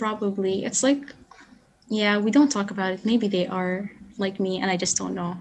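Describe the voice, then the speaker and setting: A woman speaks at a moderate pace with a medium pitch. Her pitch varies in an ordinary way. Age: young. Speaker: podcast guest. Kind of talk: personal testimony. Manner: hesitant.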